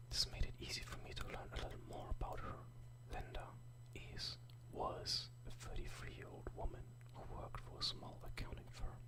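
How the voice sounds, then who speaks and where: Someone whispers at a moderate pace, leaving long, frequent pauses, against noticeable background noise. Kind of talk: whispered ASMR story reading.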